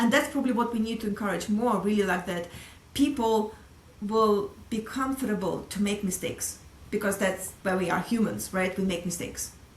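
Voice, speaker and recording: A woman with a Russian accent at a moderate pace, amid audible room echo and noticeable background noise. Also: medium pitch for a woman, ordinary pitch variation. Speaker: sales executive. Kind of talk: casual interview.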